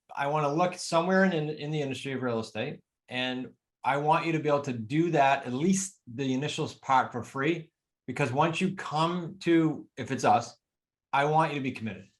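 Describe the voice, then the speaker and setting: A man with a New England accent speaks at a fairly high pitch. His pace is moderate and his pitch varies in an ordinary way. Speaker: real estate coach. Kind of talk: podcast interview.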